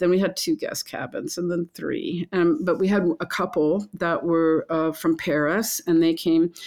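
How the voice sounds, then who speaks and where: In a quiet background, a woman speaks at a moderate pace with fairly low pitch and fairly even intonation. It is an ordinary speaking voice. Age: 60s. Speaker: lodge owner and chef. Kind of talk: casual interview conversation.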